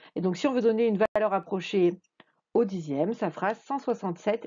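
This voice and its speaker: This woman talks at a moderate pace, her fairly high pitch showing ordinary variation. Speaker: math teacher. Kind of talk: tutorial. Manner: hesitant with frequent fillers.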